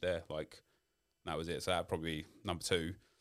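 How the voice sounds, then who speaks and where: Someone talks at a very fast pace with a South London accent. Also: man. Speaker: YouTube creator. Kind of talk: interview.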